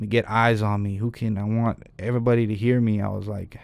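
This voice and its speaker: In a normal speaking voice, a man with an American accent talks at a fairly quick pace, with a fairly low pitch and fairly even intonation. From Reno, Nevada. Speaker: hip hop artist. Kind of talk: casual chat.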